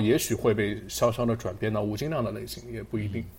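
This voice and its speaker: The voice has vocal fry and moves at a fairly quick pace. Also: man. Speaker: podcast host. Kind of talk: casual chat.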